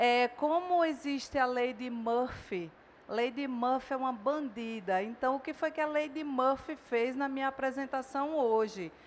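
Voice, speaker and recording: A high-pitched woman's voice, fairly slow in pace, with lively intonation. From Northeast Brazil. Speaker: dentistry professor. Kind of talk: lecture.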